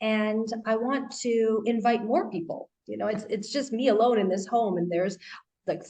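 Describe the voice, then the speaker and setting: A woman speaks with a Canadian accent at a fairly high pitch. Her voice is somewhat breathy and her pace moderate. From Canada. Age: 30s. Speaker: life coach and author. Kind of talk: interview.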